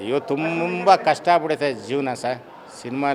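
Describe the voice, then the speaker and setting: Noticeable background noise sits under a man's fairly high-pitched speech. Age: 60s. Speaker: cinema theatre worker. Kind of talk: street interview.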